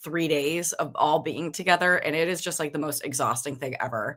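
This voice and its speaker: This woman has a fairly low pitch, ordinary pitch variation and a bright, sharp tone in a very clean recording with a silent background. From US Northeast. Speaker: guest, host's niece. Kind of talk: casual chat. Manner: fast.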